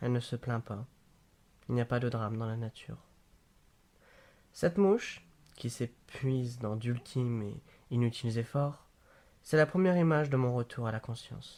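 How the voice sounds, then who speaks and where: A man talks at a moderate pace with long, frequent pauses, his medium pitch showing ordinary variation. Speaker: amateur reader. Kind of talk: novel read aloud. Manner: hesitant, with stumbles and repeats.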